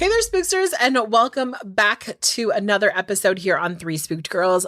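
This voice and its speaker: This woman has an ordinary speaking voice, fairly high in pitch with lively intonation, moving at a moderate pace in a dry, close sound with no echo. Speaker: podcast host. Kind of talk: casual podcast talk. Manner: upbeat, chatty.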